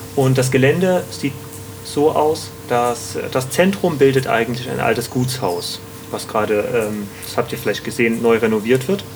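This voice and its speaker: A man at a medium pitch talks at a moderate pace against noticeable background noise. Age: 30s. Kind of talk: interview. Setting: on location at the community.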